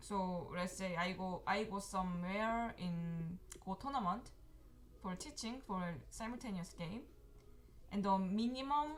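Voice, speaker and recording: A woman with a Korean accent speaks fairly slowly at medium pitch with ordinary pitch variation, long, frequent pauses and audible room echo. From South Korea. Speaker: professional Go player and teacher. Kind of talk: live game commentary. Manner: halting.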